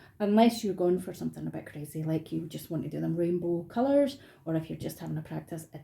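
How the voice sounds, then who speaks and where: A woman with a Scottish accent speaks in a dark, mellow tone that is somewhat breathy. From Scotland. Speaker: artist running craft workshops. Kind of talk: tutorial. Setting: home, dining room. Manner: casual, friendly.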